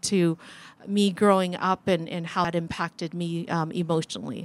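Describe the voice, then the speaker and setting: Delivered at a moderate pace with fairly even intonation, a plain, everyday voice with an American accent comes across dry and close, with no echo. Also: woman. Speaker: guest speaker, refugee sharing her faith story. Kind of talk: personal testimony to a youth group.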